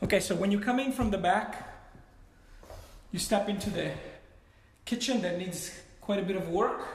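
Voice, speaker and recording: A man's high-pitched voice at a moderate pace, fairly even in intonation, with audible room echo and light background noise. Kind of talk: live property tour commentary. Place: home room. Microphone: phone near.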